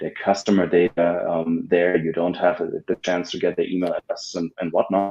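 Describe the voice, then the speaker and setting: A man with a German accent talks with hardly any pauses. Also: fairly quick pace. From Germany. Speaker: ad agency founder. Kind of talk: podcast interview. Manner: halting, many fillers and repeats.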